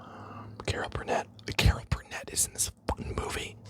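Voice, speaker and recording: Whispering at a moderate pace, the speaker is heard over noticeable background noise. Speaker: ASMR creator. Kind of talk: ASMR unboxing ramble. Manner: whispered, soft-spoken.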